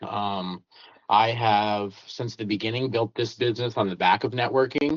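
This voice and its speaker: A man with a plain, everyday voice talks at medium pitch with ordinary pitch variation. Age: 30s. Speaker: cleaning business owner. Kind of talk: interview. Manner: casual, filler-heavy.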